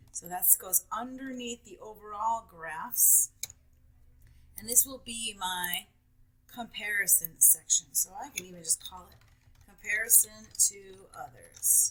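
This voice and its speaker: Long, frequent pauses mark a woman's speech, which shows ordinary pitch variation and big swings in loudness against noticeable background noise. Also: fairly high pitch for a woman, fairly slow pace. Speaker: teacher. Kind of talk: tutorial.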